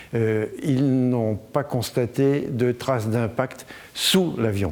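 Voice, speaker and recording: The voice shows ordinary pitch variation, with noticeable background noise. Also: man. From France, Limoges. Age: 80s+. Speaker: collector and donor. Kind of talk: interview.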